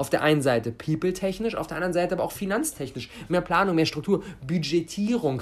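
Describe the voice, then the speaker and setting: Very fast, animated delivery from a high-pitched man with lively intonation. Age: 20s. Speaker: podcast host and mentor. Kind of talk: solo podcast monologue.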